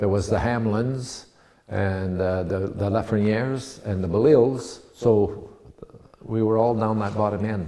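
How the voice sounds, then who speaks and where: A man with an Ontario accent talks at a fairly slow pace in a fairly low voice with fairly even intonation. Audible room echo and noticeable background noise surround him. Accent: Canadian English, Ontario. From Ontario, Canada (Penetanguishene). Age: 80s+. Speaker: local businessman and politician. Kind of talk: oral history interview. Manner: halting, many fillers and restarts.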